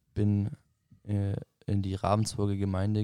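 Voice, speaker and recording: In a very clean recording with a silent background, a man speaks at a moderate pace. His fairly low voice has a dark, mellow tone. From southern Germany, Ravensburg. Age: 20s. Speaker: plumbing and heating mechanic, mission school student. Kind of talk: casual chat.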